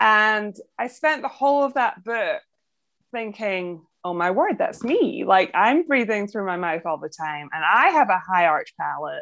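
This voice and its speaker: Speaking in a Scottish accent, a woman uses a fairly high pitch with very wide pitch swings. Her pace is moderate and the background is quiet. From Scotland. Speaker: podcast host and sleep apnea patient. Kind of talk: interview.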